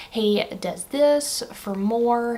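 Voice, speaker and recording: A woman speaks with a Southern US accent. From Alabama. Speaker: stay-at-home mother. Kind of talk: casual vlog talk to camera.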